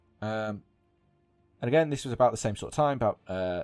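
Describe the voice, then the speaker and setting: A man's fairly low voice at a fairly quick pace, intonation lively, with music in the background. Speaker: gaming podcaster. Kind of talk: casual podcast commentary. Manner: some stuttering and pauses.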